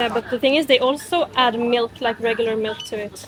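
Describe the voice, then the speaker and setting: Over noticeable background noise, a woman with a Norwegian accent speaks at a moderate pace in a high pitch, with ordinary pitch variation. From Norway. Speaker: vlogger. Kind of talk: casual vlog narration.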